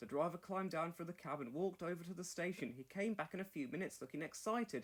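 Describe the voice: A man talks at a fairly quick pace with lively intonation and a fairly high pitch.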